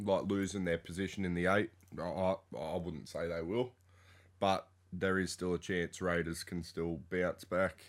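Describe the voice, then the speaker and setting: A man with an Australian accent, very deep, low pitch, fairly even intonation, and a fairly slow pace, in a very clean recording with a silent background. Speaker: sports podcast co-host. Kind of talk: casual chat.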